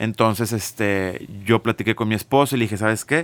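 This man has a normal speaking voice, talking at a fairly quick pace with fairly even intonation in a very clean recording with a silent background. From Monterrey, Mexico. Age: 40s. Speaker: music business consultant, former drummer. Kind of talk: casual interview.

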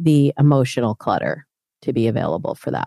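A woman speaks at a moderate pace in a dark, mellow tone. The recording is very clean, dry and close, with a silent background and no echo. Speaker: dating coach. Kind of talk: casual interview.

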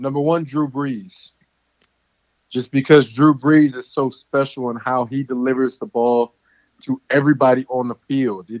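A man speaks at a moderate pace in a normal speaking voice. His pitch is medium, with fairly even intonation. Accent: American. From US South, Louisiana (near Baton Rouge). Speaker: pro football player. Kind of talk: interview.

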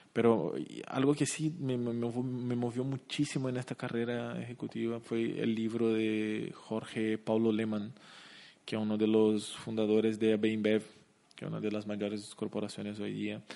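A man with a Portuguese accent, dark, mellow tone, medium pitch, fairly even intonation and fairly slow pace, over a quiet background. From Brazil, Curitiba. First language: Portuguese (speaking Spanish). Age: 30s. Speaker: company CEO. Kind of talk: interview. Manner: halting.

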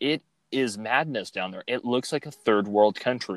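This man has a Californian accent and a medium pitch. He talks at a fairly quick pace with ordinary pitch variation. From Fresno, California. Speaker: podcast host. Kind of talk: casual political chat. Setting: remote recording, in his car.

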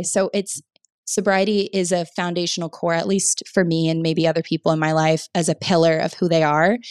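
Someone speaks at a fairly quick pace in an ordinary speaking voice, with fairly even intonation. The sound is dry and close with no echo, in a very clean recording with a silent background. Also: woman. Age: 20s. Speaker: startup founder. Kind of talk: interview.

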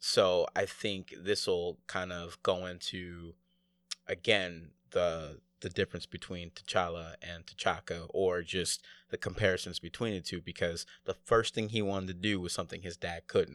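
In a very clean recording with a silent background and a dry, close sound with no echo, a man with an American accent speaks at a fairly slow pace, his pitch very deep and low and his intonation monotone and flat. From United States. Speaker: returning podcast guest. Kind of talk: casual chat.

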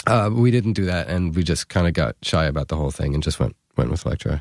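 With a New York accent, a man talks at a fairly quick pace in a very deep, low voice, his intonation lively and the sound dry and close with no echo. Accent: New York-raised American. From New York City. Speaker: musician, band frontman. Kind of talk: casual interview chat. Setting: podcast studio. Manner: casual, hesitant with filler words.

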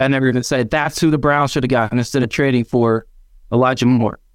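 A plain, everyday voice, a man of medium pitch talks at a fairly quick pace with fairly even intonation in a very clean recording with a silent background. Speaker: football fan panelist. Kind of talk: casual chat.

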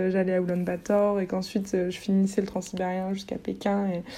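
The woman's voice is at a medium pitch. She talks at a moderate pace. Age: 20s. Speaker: art history graduate and traveler. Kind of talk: interview conversation.

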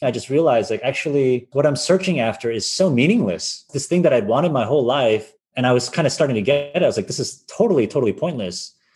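A man with an American accent, fairly high-pitched and somewhat breathy, at a very fast pace with hardly any pauses. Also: lively intonation. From US, Massachusetts (Boston area). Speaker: venture capitalist and entrepreneur. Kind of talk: interview, personal story.

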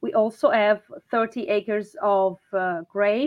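Speaking very slowly with fairly even intonation, a woman talks in an Italian accent. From Italy, Marche (Urbino). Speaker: winery owner. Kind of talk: interview. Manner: halting.

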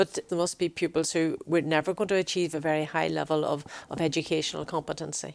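With vocal fry, a woman speaks very fast in a very deep, low, monotone voice with flat intonation. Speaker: podcast host and former education correspondent. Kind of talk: interview.

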